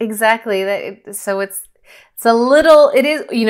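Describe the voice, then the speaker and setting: In a normal speaking voice with ordinary pitch variation, someone talks at a fairly quick pace on a very clean recording with a silent background. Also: woman. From Northern California. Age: 30s. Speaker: parkour photographer. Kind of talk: interview conversation.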